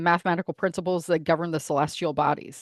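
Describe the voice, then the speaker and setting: Against a quiet background, a woman talks with fairly even intonation in a dry, close sound with no echo. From United States, South American family. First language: Spanish. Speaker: astrologer, podcast host. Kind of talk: casual interview chat.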